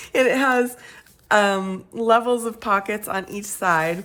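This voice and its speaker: Speaking very slowly, a woman lets her pitch vary in an ordinary way. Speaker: crafting YouTuber. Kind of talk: tutorial. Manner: casual, with many fillers.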